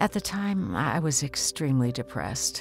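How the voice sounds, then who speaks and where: A woman at a moderate pace with very wide pitch swings, music playing behind her. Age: 50s. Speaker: restaurant owner. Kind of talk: personal testimonial narration.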